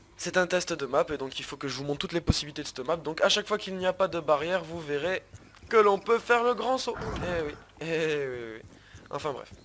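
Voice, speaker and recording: Very wide swings run through the pitch of this man's speech. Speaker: gaming youtuber. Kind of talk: gameplay commentary. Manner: fast; casual.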